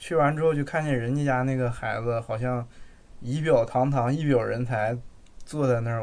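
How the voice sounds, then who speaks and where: A man with a northeastern Mandarin accent, medium pitch, moderate pace and fairly even intonation. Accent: noticeable northeastern Mandarin. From Jilin city, northeast China. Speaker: podcast co-host. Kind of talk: casual chat.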